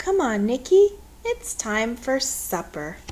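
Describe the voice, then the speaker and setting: A put-on character voice with light background noise. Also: woman, high pitch for a woman, fairly slow pace. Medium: read story. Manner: brisk, no-nonsense.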